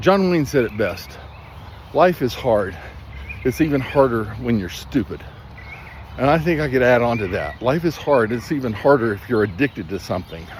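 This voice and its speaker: A man talks at a moderate pace with very wide pitch swings. Long, frequent pauses break up his speech, and background noise is noticeable. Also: medium pitch for a man. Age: 60s. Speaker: substance abuse counselor. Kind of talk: motivational talk. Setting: outdoors. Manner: animated.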